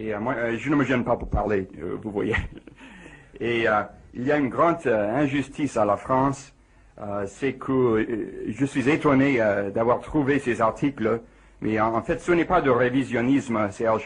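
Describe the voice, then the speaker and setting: A man speaks at a fairly slow pace with an English accent. His pitch is medium, with ordinary variation. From United States. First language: English (speaking French). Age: 40s. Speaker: physicist. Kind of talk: radio interview. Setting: radio studio. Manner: halting.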